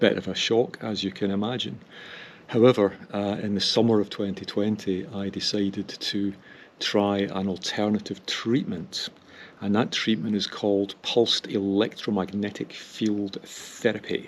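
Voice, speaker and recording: At a moderate pace, a man with a fairly low pitch talks in fairly even intonation, an ordinary speaking voice. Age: 60s. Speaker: cycling vlogger. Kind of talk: casual vlog monologue. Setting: outdoors on a hill.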